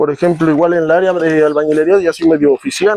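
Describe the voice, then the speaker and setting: Using a high pitch, a man talks at a fairly quick pace. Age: 20s. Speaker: tradesman, guest. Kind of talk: casual chat.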